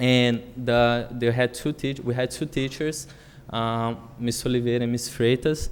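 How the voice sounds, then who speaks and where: A man with a Brazilian accent talks fairly slowly at a medium pitch, his pitch varying in an ordinary way. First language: Portuguese. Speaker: public commenter at school committee meeting. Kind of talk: public testimony. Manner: hesitant, many fillers.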